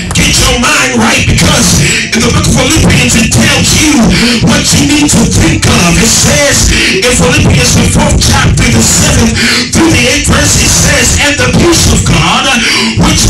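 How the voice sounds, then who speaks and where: At a fairly slow pace, a man talks over loud background music. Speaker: preacher. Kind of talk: sermon. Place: church.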